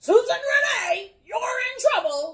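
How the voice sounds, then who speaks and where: The voice is a put-on character voice at an extremely high pitch. It moves at a fairly slow pace. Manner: stern, authoritative.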